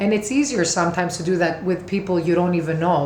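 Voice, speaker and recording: A woman speaks at a fairly low pitch. Background noise is noticeable, and the room echo is audible. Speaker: tarot and oracle card reader. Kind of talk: monthly oracle card reading to camera. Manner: casual, with many fillers and restarts.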